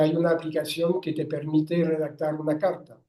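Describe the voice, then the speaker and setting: A man speaks with a French accent at a moderate pace. His tone is dark and mellow. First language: French (speaking Spanish). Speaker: writer and philosopher. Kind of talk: interview. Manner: halting, with frequent self-corrections.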